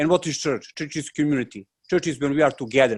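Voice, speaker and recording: A man talks in a fairly high voice with a non-native accent. His pitch varies in an ordinary way. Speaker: monastic novice. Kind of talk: panel question. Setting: video call. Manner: halting.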